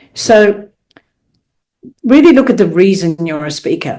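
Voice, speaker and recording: A woman speaks with an Australian accent and a dark, mellow tone. Her pitch swings very widely. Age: 70s. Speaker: professional speaker. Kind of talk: podcast interview. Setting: podcast.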